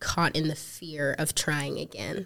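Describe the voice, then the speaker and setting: A woman speaks with an American accent. Her intonation is monotone and flat. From South Africa, then Missouri from age 13. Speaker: counseling student and ministry worker. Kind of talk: podcast interview.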